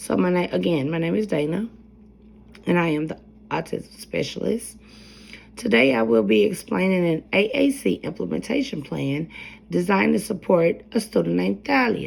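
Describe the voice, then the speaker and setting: A woman with a fairly low pitch and vocal fry speaks at a moderate pace, her pitch swinging very widely. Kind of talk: educational presentation. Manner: soft-spoken.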